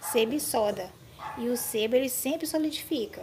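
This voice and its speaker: The speaker is a woman with ordinary pitch variation. Noticeable background noise runs under her voice. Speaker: home cleaning tips vlogger. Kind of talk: tutorial. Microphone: phone near.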